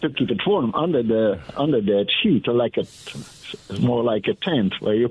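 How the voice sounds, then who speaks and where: A man with a Dutch accent, medium pitch and lively intonation, moderate pace and very even loudness, over noticeable background noise. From Netherlands. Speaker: caller. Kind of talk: call-in radio chat. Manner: halting.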